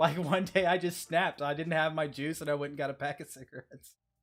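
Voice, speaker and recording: A man's fairly high voice with fairly even intonation, in a very clean recording with a silent background. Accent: American. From South Texas. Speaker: stream host. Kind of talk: live stream commentary.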